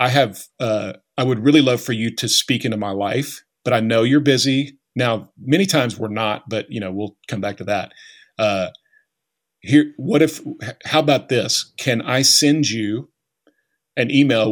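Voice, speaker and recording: A man in a normal speaking voice with an American accent, moderate pace and ordinary pitch variation, in a very clean recording with a silent background. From Oklahoma. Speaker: leadership author. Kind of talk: interview.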